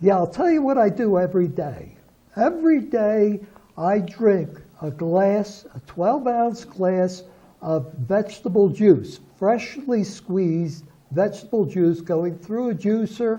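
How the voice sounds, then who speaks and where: With an American accent, a man speaks at a high pitch. His intonation is lively and his pace fairly slow. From Philadelphia, US. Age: 80s+. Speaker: pastor. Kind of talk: TV interview. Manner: hesitant, many fillers.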